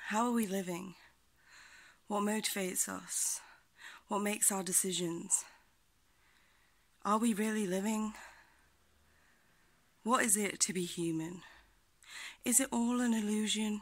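A woman's passionate voice at a fairly slow pace, with long, frequent pauses and fairly even intonation. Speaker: poet, activist. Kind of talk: freestyle spoken word poetry. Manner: rhythmic, passionate. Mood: reflective, earnest, uplifting. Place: home room. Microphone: phone near.

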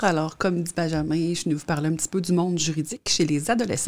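A fast-paced woman's voice, fairly low in pitch, with a slightly mellow tone.

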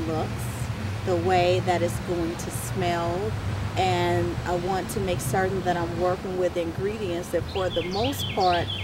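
Loud background noise fills a dry recording with no echo as the speech moves at a fairly slow pace. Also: woman. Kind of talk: interview answer. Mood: calm, warm, thoughtful.

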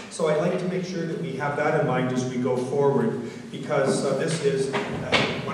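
There is noticeable background noise and strong room echo. A man talks at a fairly quick pace. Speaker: host of public meeting. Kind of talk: public speech. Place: hall.

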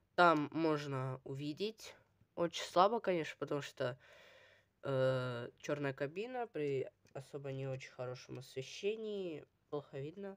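Very slow speech with lively intonation against a quiet background. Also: woman. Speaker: toy review video blogger. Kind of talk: product review. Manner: casual, hesitant with filler sounds. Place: home room. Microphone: phone near.

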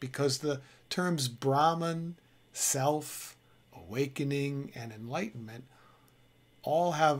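The pace stays fairly slow as this man talks. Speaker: spiritual teacher. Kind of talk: spiritual talk to camera.

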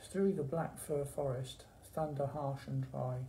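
Over light background noise, a man speaks at a fairly slow pace with a somewhat breathy, dark, mellow tone. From England. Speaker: library staff member hosting poetry session. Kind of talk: poetry reading, performed verse read aloud in a warm library chat. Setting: library video session. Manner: measured, rhythmic, expressive reading; friendly, conversational. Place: office. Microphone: phone near.

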